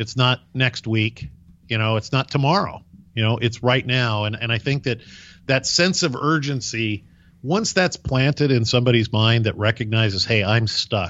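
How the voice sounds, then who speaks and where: A man's normal speaking voice at medium pitch, with ordinary pitch variation and a moderate pace. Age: 50s. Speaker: podcast host. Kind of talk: casual interview chat.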